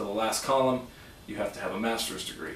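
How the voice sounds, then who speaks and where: A man with an American accent talks in a flat monotone, with audible room echo and noticeable background noise. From Southern California (San Diego). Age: 30s. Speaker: high school teacher. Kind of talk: self-introduction video. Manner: hesitant, many fillers.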